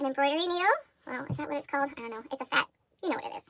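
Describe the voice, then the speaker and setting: A woman projects a raised voice with a bright, sharp tone. Her intonation is lively. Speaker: crochet and history video creator. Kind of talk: tutorial. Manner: fast.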